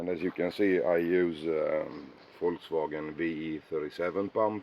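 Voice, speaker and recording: With a non-native accent, a man talks at a fairly slow pace in a very deep, low voice. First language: Swedish. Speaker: car hobbyist. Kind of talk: casual walkaround video. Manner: halting, many fillers.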